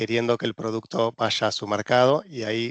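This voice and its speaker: Against a quiet background, a man with an Argentine accent speaks at medium pitch and a moderate pace in a dry, close sound with no echo. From Argentina. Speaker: regulatory consultant. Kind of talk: presentation. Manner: hesitant, many fillers.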